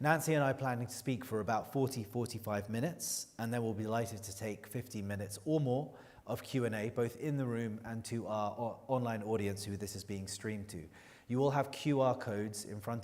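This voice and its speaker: Over audible room echo, a man talks at a fairly quick pace and medium pitch with ordinary pitch variation. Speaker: journalist. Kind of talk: moderated interview introduction. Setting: stage with audience.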